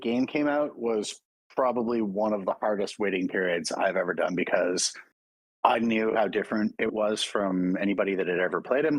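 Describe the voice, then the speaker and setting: A man speaks in an unremarkable speaking voice. His intonation is lively and his pace moderate. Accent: Canadian. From Oakville, Ontario, Canada. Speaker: voice actor. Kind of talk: interview answer.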